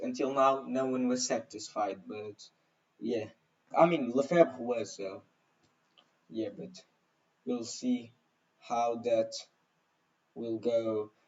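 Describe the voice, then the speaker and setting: A man's medium-pitched voice at a very slow pace, with big swings in loudness and long, frequent pauses. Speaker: historian reacting to videos. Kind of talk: reaction video commentary. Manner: halting.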